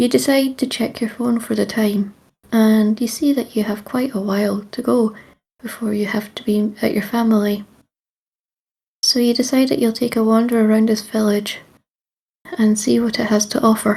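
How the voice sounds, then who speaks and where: A woman with a Scottish accent speaks at moderate pace in a somewhat breathy, dark, mellow tone, with fairly even intonation and long, frequent pauses. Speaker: storyteller. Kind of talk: second-person creepy story narration.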